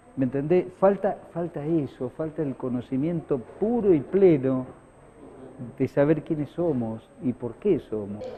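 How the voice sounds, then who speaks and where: A man with a fairly high pitch and lively intonation speaks fairly slowly amid noticeable background noise. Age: 60s. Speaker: radio broadcaster. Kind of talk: interview. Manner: halting, many fillers and repetitions.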